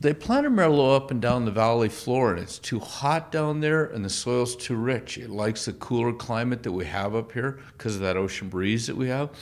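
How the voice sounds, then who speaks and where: Speaking at a fairly quick pace with hardly any pauses, a man uses an ordinary speaking voice, medium in pitch with ordinary pitch variation. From part Canadian. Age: 60s. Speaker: winemaker. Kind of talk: casual chat. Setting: tasting room.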